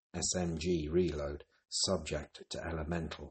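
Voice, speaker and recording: Very slowly and in a flat monotone, a man speaks with a very deep, somewhat breathy voice. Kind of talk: poem reading.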